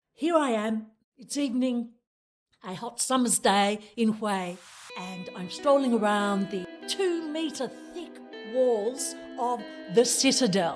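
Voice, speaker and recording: A woman's high voice at a very slow pace, music playing in the background. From Australia. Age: 70s. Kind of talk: travel vlog narration.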